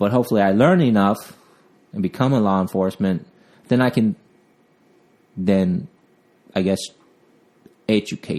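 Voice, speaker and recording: Speaking at a moderate pace with long, frequent pauses, a man with a Vietnamese accent keeps a fairly low pitch, ordinary pitch variation and very even loudness. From Vietnam, raised partly in Southern California. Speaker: police officer. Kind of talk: interview. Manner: halting, with fillers.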